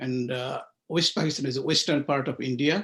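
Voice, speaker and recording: At a moderate pace, a man with a Bengali accent talks in a fairly high pitch with ordinary pitch variation. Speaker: author. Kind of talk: interview. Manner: hesitant with fillers.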